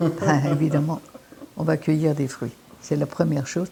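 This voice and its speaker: Against noticeable background noise, a woman speaks at a very deep, low pitch. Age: 80s+. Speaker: naturopath. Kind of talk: interview answer.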